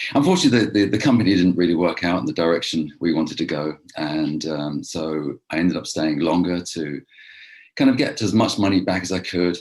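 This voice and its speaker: A man with an English accent talks at a fairly quick pace. His pitch is very deep and low, with ordinary pitch variation. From London, England. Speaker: real estate investor. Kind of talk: interview podcast.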